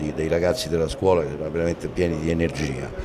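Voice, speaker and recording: Noticeable noise sits in the background. Over it, a man speaks fairly quickly. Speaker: actor interviewed about a play. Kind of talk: interview answer. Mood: pleased, animated. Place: hall. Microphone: handheld.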